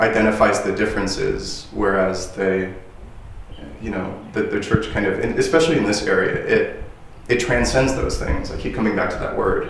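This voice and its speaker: Over noticeable background noise and audible room echo, a man talks at a moderate pace with an American accent. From Texas. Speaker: interviewer. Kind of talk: interview. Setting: inside a chapel. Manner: halting.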